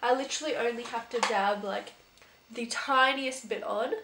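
This woman speaks at a high pitch. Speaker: beauty YouTuber. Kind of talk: casual video monologue, product review. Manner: animated, enthusiastic.

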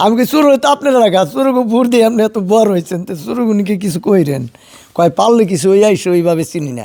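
Dark and mellow in tone, a man with a high pitch speaks with lively intonation. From Bangladesh, Manikganj district. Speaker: independent parliamentary candidate. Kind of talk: interview. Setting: at his home. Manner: halting.

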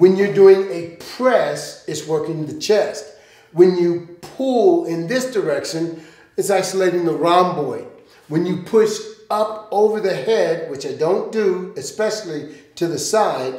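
Amid audible room echo, a man speaks at a fairly slow pace with a high pitch and ordinary pitch variation. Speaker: fitness coach. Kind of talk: tutorial. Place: gym.

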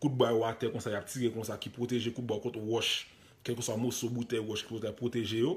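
At a fairly quick pace, a man talks in a medium-pitched voice. His delivery is somewhat breathy. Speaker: online commentator, news video host. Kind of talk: live video commentary on news footage. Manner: animated.

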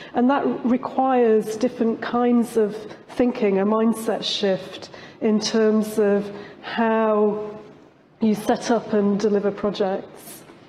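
Over light background noise, a woman with a British accent speaks very slowly at a fairly high pitch, her intonation monotone and flat and her loudness very even. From UK. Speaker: professor. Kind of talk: conference panel discussion. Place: stage.

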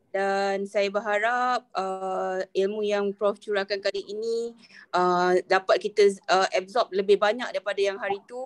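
This woman speaks at a fairly slow pace in a medium pitch. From Malaysia. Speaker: workshop organiser, lecturer. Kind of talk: welcoming speech. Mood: polite, grateful. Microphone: video call.

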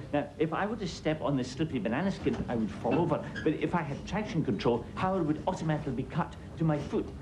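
A man speaks at a very fast pace. There is noticeable background noise. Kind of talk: scripted comedic explanation. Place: office.

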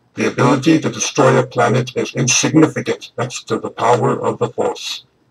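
Putting on a character voice, a man talks raspy and at a fairly quick pace in a medium pitch. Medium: role play. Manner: slow, menacing.

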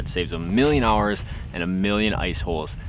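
Dry sound with no echo, plus noticeable background noise. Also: man. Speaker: fishing vlogger. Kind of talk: tutorial. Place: open country.

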